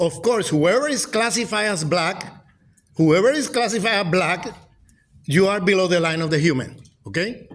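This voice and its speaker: A man with a Puerto Rican accent speaks at a moderate pace and a high pitch, with lively intonation and long, frequent pauses. Audible room echo surrounds his voice. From Puerto Rico. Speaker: professor. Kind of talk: lecture. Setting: lecture hall with audience. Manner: halting.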